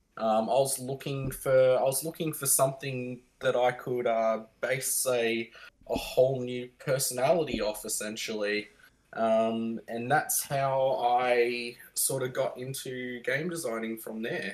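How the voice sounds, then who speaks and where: This man's intonation stays fairly even. His pitch sits in the medium range. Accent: Australian. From Victoria, Australia. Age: 30s. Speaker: board game designer, former navy submariner. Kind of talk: interview.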